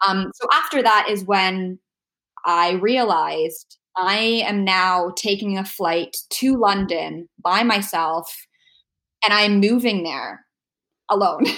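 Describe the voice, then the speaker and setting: A woman with a Canadian accent and a bright, sharp tone, at a very slow pace with ordinary pitch variation, in a very clean recording with a silent background. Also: medium pitch for a woman. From Canada, Toronto. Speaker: podcast guest living with immune deficiency. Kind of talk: casual interview chat.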